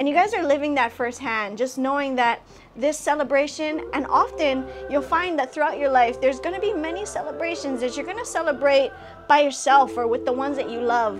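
Over clear background music, a woman with a warm tone and a high voice speaks at a fairly quick pace with ordinary pitch variation. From Hawaii. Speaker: comedian, actress, internet personality. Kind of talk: graduation congratulation message. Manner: warm, encouraging. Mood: warm, heartfelt, encouraging. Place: home room. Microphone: phone near.

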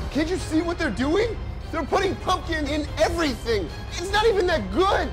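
A man's extremely high-pitched voice at a moderate pace, with ordinary pitch variation and clear music in the background. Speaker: comedy actor. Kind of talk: comedy sketch parodying a horror movie trailer. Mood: agitated, paranoid rant. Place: home room.

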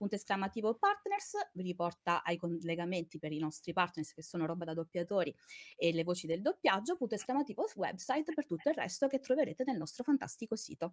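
Over a quiet background, a woman talks at a very fast pace. Her medium pitch makes very wide swings. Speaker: co-host and chat moderator. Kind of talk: casual live-stream chat. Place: home room.

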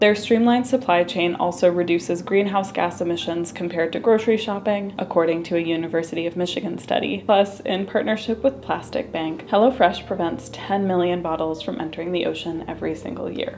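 Over light background noise, a woman with a fairly low pitch speaks at a fairly quick pace with ordinary pitch variation and hardly any pauses. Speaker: vlogger reading sponsor ad. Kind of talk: sponsored ad read. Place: home room.

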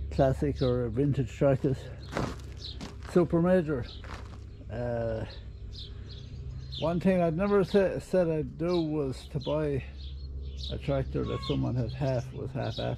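Amid noticeable background noise, a man talks at a fairly slow pace with long, frequent pauses. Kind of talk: casual vlog chat. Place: farm machine. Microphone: phone near.

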